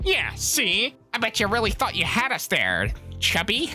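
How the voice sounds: Clear music plays in the background of this put-on character voice. It is fairly high in pitch and moves at a moderate pace.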